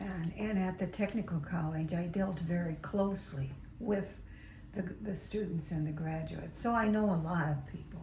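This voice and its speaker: A woman speaks at a moderate pace with a fairly low pitch and ordinary pitch variation. Audible room echo and noticeable background noise surround her. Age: 80s+. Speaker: novelist. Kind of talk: interview.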